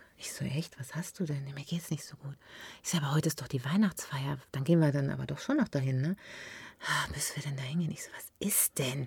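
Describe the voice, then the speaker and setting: A woman's very deep, low pitch in a dark, mellow, somewhat breathy tone, fairly quick in pace and fairly even in intonation, with big swings in loudness on a very clean recording with a silent background. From Ruhr area, Germany (Unna near Dortmund), then Westerwald from age 15. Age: 40s. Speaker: actress and TV shopping presenter. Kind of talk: casual chat.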